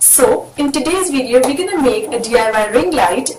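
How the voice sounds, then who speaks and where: Over noticeable background noise, a woman with a high pitch and very wide pitch swings speaks at a moderate pace. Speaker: YouTuber. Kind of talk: casual talk to camera. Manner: upbeat.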